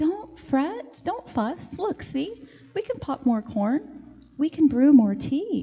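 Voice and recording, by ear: A woman's squeaky, put-on character voice, high in pitch, at a very slow pace.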